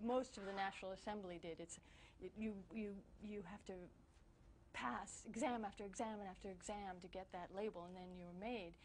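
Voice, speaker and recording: A somewhat breathy voice with fairly even intonation at a moderate pace. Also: woman, medium pitch for a woman. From France and US, binational. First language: French. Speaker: newspaper bureau chief, journalist. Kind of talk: interview. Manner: halting, many repetitions and fillers.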